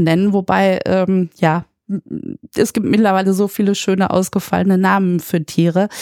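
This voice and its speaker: A woman talks in a plain, everyday voice, her medium pitch and fairly even intonation paired with a moderate pace. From Germany, Münster. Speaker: administrative manager. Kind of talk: interview.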